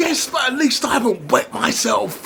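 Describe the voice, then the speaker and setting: A man uses a put-on character voice. Background noise is clearly audible. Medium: audio drama. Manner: loud, argumentative.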